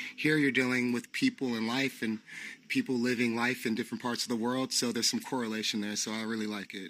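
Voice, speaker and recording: A man's medium-pitched, monotone, flat voice at a very fast pace, on a very clean recording with a silent background. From San Francisco, California. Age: 30s. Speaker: aspiring hostel owner. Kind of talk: interview. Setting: hostel. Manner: hesitant, many fillers.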